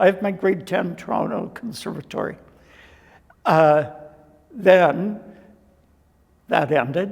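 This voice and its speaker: Someone with a Canadian accent speaks at a very slow pace, leaving long, frequent pauses. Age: 70s. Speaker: dancer and choreographer. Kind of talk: interview.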